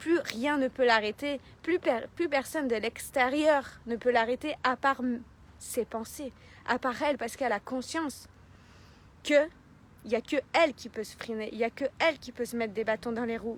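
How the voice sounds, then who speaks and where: A woman with a high voice talks in an animated tone at a moderate pace with ordinary pitch variation and long, frequent pauses, in a dry, close sound with no echo. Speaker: life coach. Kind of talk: motivational talk. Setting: live video stream. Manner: loud.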